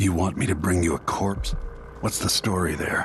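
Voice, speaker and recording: A put-on character voice growls at a moderate pace, its loudness very even and its pitch varying in an ordinary way. Clear background noise runs underneath. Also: man, very deep, low pitch for a man. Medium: video game. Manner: terse, grave.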